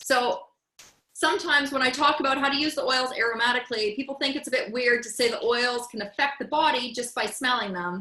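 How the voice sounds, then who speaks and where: Raised and projected, a woman's bright, sharp voice with a Canadian accent moves at a fairly quick pace, high in pitch with ordinary variation. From Canada. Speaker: essential oils educator. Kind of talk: presentation to a group.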